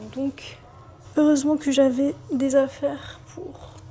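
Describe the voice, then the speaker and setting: This is a woman speaking. Music plays in the background. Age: 20s. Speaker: dancer. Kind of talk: casual vlog talk to camera.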